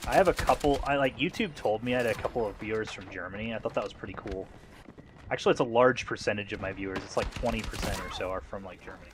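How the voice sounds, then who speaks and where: Speaking at a very fast pace, a man uses ordinary pitch variation. Noticeable background noise is present. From US South. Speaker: gaming streamer. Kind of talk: casual live stream chat with gameplay. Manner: halting, many fillers.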